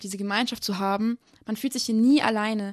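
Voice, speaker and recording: In a quiet background, a woman talks at a fairly quick pace in a fairly high pitch. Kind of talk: testimony interview. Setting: remote live connection.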